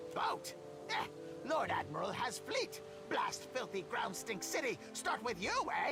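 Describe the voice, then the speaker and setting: A man's shrill put-on character voice at a moderate pace, with loud music in the background. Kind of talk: broken, clipped speech. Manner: screeching, agitated.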